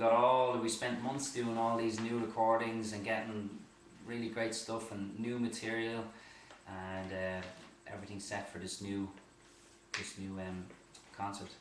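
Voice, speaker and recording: A man with an Irish accent speaks at a moderate pace in a medium pitch and a monotone, flat intonation, with long, frequent pauses, audible room echo and noticeable background noise. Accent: Irish, Bray. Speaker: singer. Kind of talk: casual chat. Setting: live video stream.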